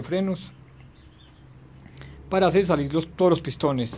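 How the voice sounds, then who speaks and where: A man talks while music plays in the background. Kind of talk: tutorial. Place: garage. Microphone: phone near.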